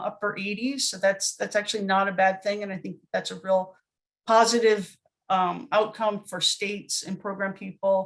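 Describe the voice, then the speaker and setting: A woman at medium pitch and a moderate pace. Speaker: government data program specialist. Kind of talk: webinar presentation. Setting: online webinar. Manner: hesitant, many fillers.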